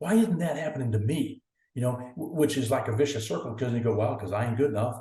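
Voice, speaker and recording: With audible room echo around him, a man speaks very fast at a medium pitch, his tone dark, mellow and somewhat breathy. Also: ordinary pitch variation. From US South, northeast Oklahoma. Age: 60s. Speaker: athletics director. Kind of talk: podcast interview. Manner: hesitant, many fillers and repeats.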